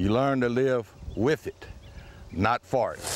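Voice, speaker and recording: A man with a Texan accent and medium pitch, in a dry, close sound with no echo. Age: 60s. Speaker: rancher. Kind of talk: interview.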